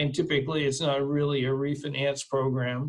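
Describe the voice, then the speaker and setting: A man's fairly high, somewhat breathy voice at a moderate pace. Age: 60s. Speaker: reverse mortgage specialist. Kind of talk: webinar presentation. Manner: hesitant, many fillers.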